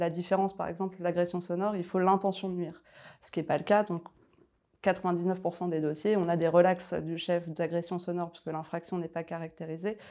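Against a quiet background, a woman with a dark, mellow tone and fairly low pitch speaks at a moderate pace in a monotone, flat intonation. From France, Paris region (Val-d'Oise); France. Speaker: lawyer. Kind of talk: interview. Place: office. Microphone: lapel.

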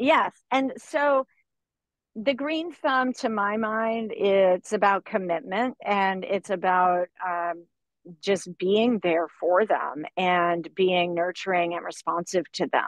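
Against a quiet background, a woman with an American accent speaks at a very slow pace and a medium pitch, the sound dry with no echo. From Florida. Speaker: organic farmer; guest. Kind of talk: interview. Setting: outdoors on a farm buggy. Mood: thoughtful, relaxed. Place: car. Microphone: video call.

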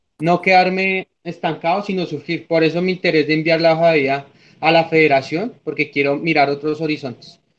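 Fairly high in pitch, a man's plain, everyday voice keeps a moderate pace and fairly even intonation. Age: 20s. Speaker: student; candidate. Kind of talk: mock job interview. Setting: video call. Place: home room. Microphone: video call.

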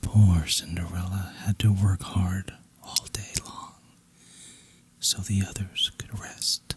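Against noticeable background noise, a man whispers at a very slow pace. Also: dry, close sound with no echo. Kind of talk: bedtime story reading. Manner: whispered; soft, relaxing.

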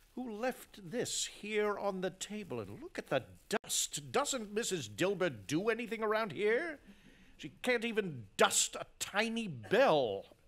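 A man's put-on, gruff character voice, high-pitched and fairly slow, with lively intonation. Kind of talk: radio drama acting. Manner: gruff, scornful, irritable.

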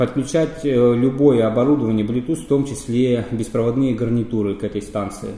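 Audible room echo surrounds the voice of a man as he talks. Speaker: radio equipment reviewer. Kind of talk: product review explanation. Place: office.

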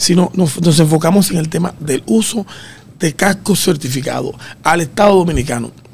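This man's voice sits high in pitch. His intonation shows ordinary pitch variation. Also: moderate pace. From Dominican Republic. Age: 50s. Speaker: road safety expert; guest. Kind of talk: radio interview. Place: studio. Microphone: studio mic.

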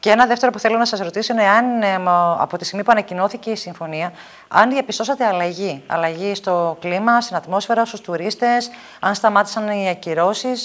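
A woman speaks at a medium pitch and a fairly quick pace. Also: ordinary pitch variation. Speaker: TV show host. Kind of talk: TV interview. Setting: studio. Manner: formal. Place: studio.

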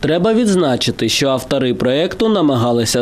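Noticeable background noise sits behind a man with a medium-pitched voice. He talks at a moderate pace with lively intonation. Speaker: TV news reporter. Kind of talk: news reading.

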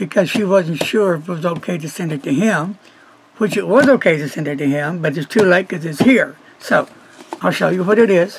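Light background noise sits behind a man with a high-pitched voice. He talks at a fairly quick pace with ordinary pitch variation. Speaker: pen reviewer. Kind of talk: casual vlog chat.

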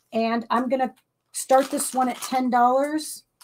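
Here a woman talks in a high pitch. The background is quiet. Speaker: live auction host. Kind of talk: live online auction, bidding calls. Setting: live stream from home setup. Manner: animated, chatty, warm and bubbly. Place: home room.

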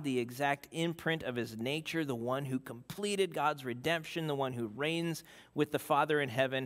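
One man speaks with ordinary pitch variation. The background stays quiet. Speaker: preacher. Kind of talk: sermon. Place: church.

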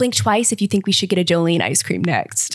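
A woman speaking at a fairly quick pace against a quiet background. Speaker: podcast host. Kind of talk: scripted news roundup. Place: kitchen. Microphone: studio mic.

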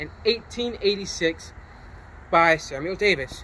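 Over light background noise, a man uses a raised, projected voice with lively intonation. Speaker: vlogger. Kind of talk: casual vlog intro. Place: street.

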